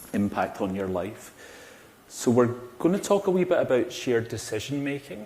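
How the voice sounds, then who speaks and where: A man with a Glaswegian accent speaks with lively intonation. Audible room echo surrounds his voice. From Scotland, Glasgow. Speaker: cardiac pharmacist. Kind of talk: conference talk. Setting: stage with audience. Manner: animated.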